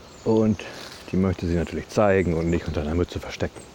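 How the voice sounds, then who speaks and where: A man talks at a very fast pace with a very deep, low pitch. Noticeable background noise runs underneath. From Westphalia, Germany (Ibbenbüren). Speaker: podcaster. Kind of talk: casual monologue. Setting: outdoors, walking.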